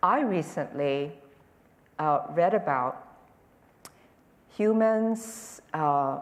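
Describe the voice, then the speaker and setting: There is audible room echo around a woman whose voice sits fairly low in pitch. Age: 70s. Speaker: Zen teacher and political strategist. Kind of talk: public conversation. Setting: auditorium with audience.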